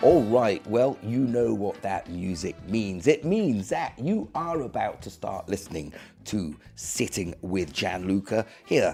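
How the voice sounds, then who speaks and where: A man at a fairly low pitch and fairly slow pace, with lively intonation and music in the background. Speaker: radio show host. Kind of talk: podcast interview. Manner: casual, conversational.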